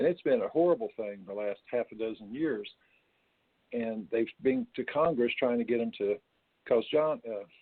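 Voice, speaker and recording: At a moderate pace, a man speaks with an Appalachian accent. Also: medium pitch for a man, ordinary pitch variation. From West Virginia. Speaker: retired coal miner and storyteller. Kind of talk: interview answer.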